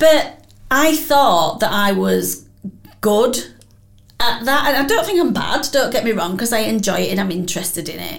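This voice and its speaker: A woman's fairly high voice at a moderate pace, with very wide pitch swings and audible room echo. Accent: Yorkshire. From Wakefield, West Yorkshire. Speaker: podcast host. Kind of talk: interview. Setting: studio.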